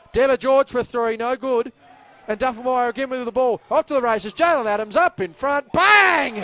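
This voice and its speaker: A man speaks in a raised, projected voice at an extremely high pitch, with ordinary pitch variation. His pace is moderate, and background noise is noticeable. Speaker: basketball commentator. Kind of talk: live sports play-by-play commentary.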